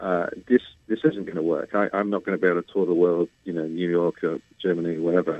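Speaking very fast with fairly even intonation, a man with a British accent has a very deep, low pitch. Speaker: bass baritone singer. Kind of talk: interview conversation. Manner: hesitant, many fillers.

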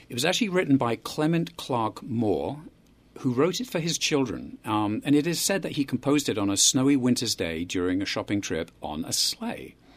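A man with a British accent, medium pitch and very wide pitch swings at a moderate pace, on a very clean recording with a silent background. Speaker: guest. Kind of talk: casual chat. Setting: studio.

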